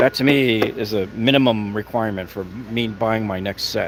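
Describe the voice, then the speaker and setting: A man talks at a medium pitch with ordinary pitch variation. Noticeable background noise runs behind him. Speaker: YouTube tool reviewer. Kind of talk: live-stream store walkthrough. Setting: inside a home improvement store. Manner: fast; casual, chatty.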